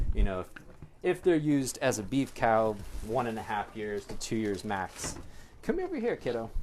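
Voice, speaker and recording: Ordinary pitch variation in a man's voice at a medium pitch. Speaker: animal sanctuary caretaker. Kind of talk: casual chat. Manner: loud.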